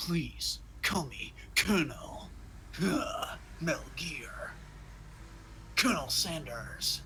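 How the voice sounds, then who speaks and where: A man whispers in a put-on character voice. He goes at a very slow pace, with long, frequent pauses. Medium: game stream. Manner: gruff, serious.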